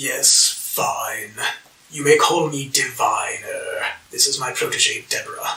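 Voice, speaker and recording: Using a put-on character voice with an extremely high pitch, a man speaks at a fairly slow pace. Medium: actual play. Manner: peevish, haughty.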